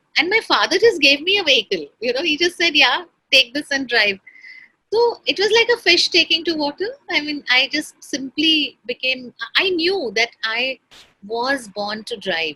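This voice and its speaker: High-pitched woman's raised, projected voice, bright and sharp, with very wide pitch swings and a dry, close sound with no echo. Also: moderate pace. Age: 60s. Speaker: entrepreneur. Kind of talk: conversational interview.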